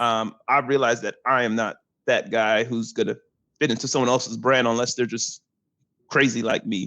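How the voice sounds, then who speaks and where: Against a quiet background, a man with a medium-pitched, bright, sharp voice talks at a moderate pace. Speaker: real estate agent. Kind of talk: podcast interview. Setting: podcast. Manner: animated.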